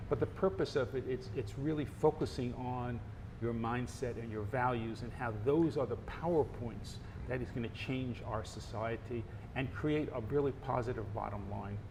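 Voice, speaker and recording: A man with an American accent talks at a moderate pace and medium pitch. He has a plain, everyday voice. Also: ordinary pitch variation. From United States. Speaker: marketing professor and author. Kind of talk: interview.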